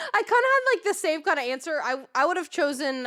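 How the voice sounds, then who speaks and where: A woman speaks in a high pitch with a bright, sharp tone. Her voice is raised and projected, with very wide pitch swings. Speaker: streamer interviewer. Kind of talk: casual chat. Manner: loud.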